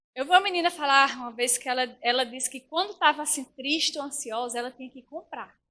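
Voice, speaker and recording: Speaking at a fairly quick pace, a woman uses a raised, projected voice that is high-pitched, animated, bright and sharp, with lively intonation. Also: big swings in loudness. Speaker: preacher. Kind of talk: sermon. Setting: church. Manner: fast.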